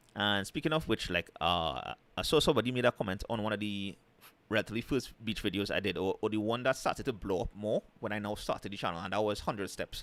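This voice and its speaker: A man with a Trinidadian accent talks very fast at a fairly low pitch with ordinary pitch variation, on a very clean recording with a silent background. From Trinidad and Tobago. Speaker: travel and food vlogger. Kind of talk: casual live stream chat. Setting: live stream.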